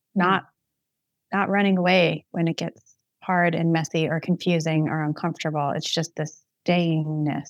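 On a very clean recording with a silent background, a woman with an unremarkable speaking voice talks at a fairly slow pace and a fairly low pitch. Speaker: podcast co-host.

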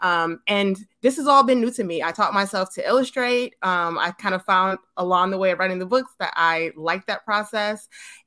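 Speaking with an American accent, a woman at a medium pitch uses a bright, sharp tone and ordinary pitch variation, with hardly any pauses in a very clean recording over a silent background. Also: moderate pace. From Detroit, Michigan. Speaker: children's book author and illustrator. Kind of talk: interview.

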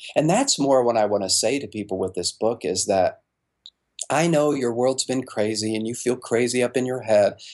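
With a quiet background, an unremarkable speaking voice shows ordinary pitch variation and a moderate speed. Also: man, medium pitch for a man. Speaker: pastor and author. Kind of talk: interview. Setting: studio.

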